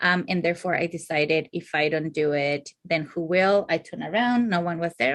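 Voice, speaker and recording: Over a quiet background, a woman with a non-native accent speaks at a moderate pace. Her pitch is fairly low. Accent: foreign. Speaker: therapist and clinical supervisor. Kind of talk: casual interview. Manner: hesitant, many fillers.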